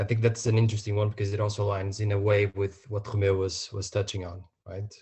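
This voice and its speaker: Somewhat breathy and fairly low-pitched, a man speaks at a very fast pace. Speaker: podcast host. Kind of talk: casual chat.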